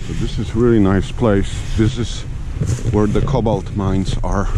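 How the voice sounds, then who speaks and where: Loud background noise behind a man talking at a fairly slow pace, the sound dry with no echo. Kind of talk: casual vlog chat. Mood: curious, amazed. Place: forest. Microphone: phone near.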